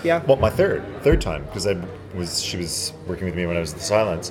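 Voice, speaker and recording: In a Canadian accent, a man talks at a fairly quick pace with very wide swings in pitch. Noticeable background noise runs under his speech. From Montreal, Quebec, Canada. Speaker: actor. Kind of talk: interview. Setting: convention floor.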